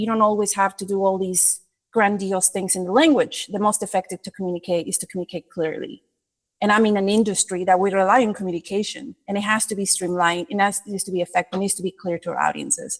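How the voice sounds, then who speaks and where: Speaking at a very fast pace with a non-native accent, the voice shows ordinary pitch variation. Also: woman, medium pitch for a woman. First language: not English. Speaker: creative director. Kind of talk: podcast interview.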